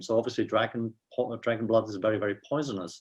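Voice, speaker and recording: A man speaks with a Swiss accent. His pitch is medium. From Switzerland. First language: Swiss German. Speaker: professor. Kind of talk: interview. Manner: halting, many fillers.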